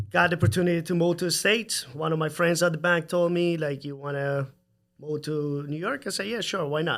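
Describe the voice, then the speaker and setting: A man talks with a fairly high pitch at a moderate pace. His pitch varies in an ordinary way. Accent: Salvadoran. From El Salvador. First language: Spanish. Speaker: home builder. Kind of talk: casual chat.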